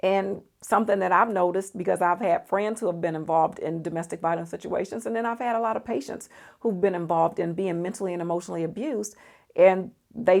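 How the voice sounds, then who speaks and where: Speaking at a fairly quick pace, a woman has a medium pitch, ordinary pitch variation and an ordinary speaking voice, captured in a very clean recording with a silent background. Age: 50s. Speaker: psychologist. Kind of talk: casual talk to camera.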